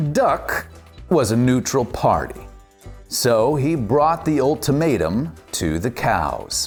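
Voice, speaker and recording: A man talks at a very slow pace in an upbeat, playful tone, his medium pitch swinging very widely. His loudness stays very even, and music plays in the background. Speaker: voice actor. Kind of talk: children's storybook read-aloud.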